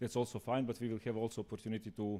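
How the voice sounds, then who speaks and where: A man with a Serbian accent. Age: 40s. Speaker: conference speaker. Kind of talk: lecture.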